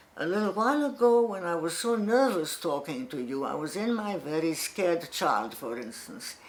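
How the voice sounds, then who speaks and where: A woman speaks at a fairly slow pace with very wide pitch swings, and audible room echo surrounds her voice. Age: 80s+. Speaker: psychotherapist. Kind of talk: lecture.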